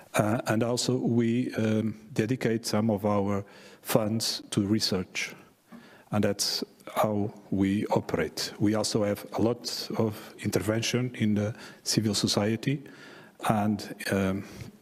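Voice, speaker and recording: Over noticeable background noise, a man speaks at a very slow pace and fairly low pitch, in a monotone, flat intonation with very even loudness. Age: 60s. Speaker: session moderator. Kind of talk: conference moderation. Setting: conference stage. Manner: halting, many fillers.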